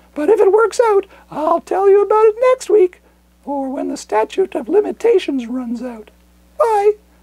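An extremely high, cartoonish character voice speaks at a moderate pace. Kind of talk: comedic monologue to camera. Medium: puppet.

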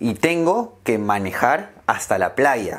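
A man speaks at a very slow pace. His pitch swings very widely. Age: 20s. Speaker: language teacher. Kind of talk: slow scripted speech for learners. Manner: slow, clear. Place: home room.

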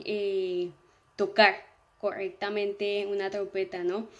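A woman's fairly high voice, fairly slow and monotone, with flat intonation. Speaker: student testimonial giver. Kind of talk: testimonial. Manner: hesitant, filler-heavy. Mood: warm, appreciative. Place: home room. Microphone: phone near.

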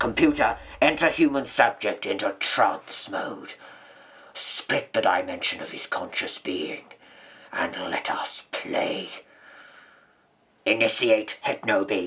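In a growling, put-on character voice, the speaker goes at a fairly slow pace with long, frequent pauses. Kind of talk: theatrical character performance. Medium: audio drama. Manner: imperious, commanding. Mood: commanding.

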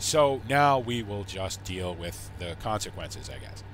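A man's fairly low, somewhat breathy voice in a relaxed tone. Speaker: gaming YouTuber. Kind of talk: casual gameplay commentary. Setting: home recording, solo, gameplay video. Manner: relaxed, conversational, chatty.

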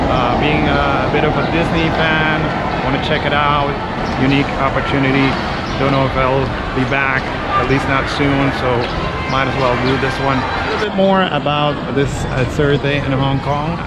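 Amid loud background noise, a man talks at a moderate pace with long, frequent pauses, the sound dry with no echo. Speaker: travel vlogger. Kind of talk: casual vlog chat. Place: station. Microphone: phone near.

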